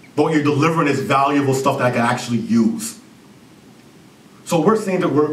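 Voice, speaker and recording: A fairly high-pitched man with lively intonation, at a fairly quick pace, with audible room echo. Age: 30s. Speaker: business consultant and CEO. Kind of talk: conference presentation.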